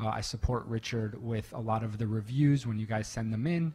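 A man with a medium pitch talks at a fairly quick pace in a somewhat breathy voice with fairly even intonation. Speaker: membership lead and pitch deck director. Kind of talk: panel feedback.

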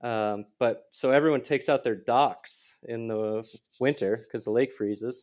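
Speaking in a normal speaking voice with an American accent, a man keeps a medium pitch, a fairly slow pace and fairly even intonation. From Minnesota, near Minneapolis. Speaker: terrain park builder and snowcat operator. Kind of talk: casual interview chat. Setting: remote call.

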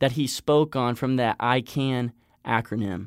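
Speaking with an ordinary speaking voice, a man uses a medium pitch and ordinary pitch variation at a fairly slow pace. The sound is dry and close with no echo, and the recording is very clean with a silent background. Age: 20s. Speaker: podcast host. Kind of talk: motivational monologue; casual interview.

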